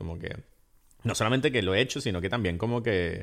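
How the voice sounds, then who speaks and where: Behind this man, the background stays quiet. His intonation is lively. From Venezuela. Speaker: podcast co-host, film commentator. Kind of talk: casual chat. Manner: halting.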